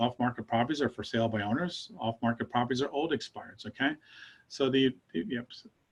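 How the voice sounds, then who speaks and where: This is a man speaking. His pace is very fast. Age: 60s. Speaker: real estate trainer. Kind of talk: training class. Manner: animated.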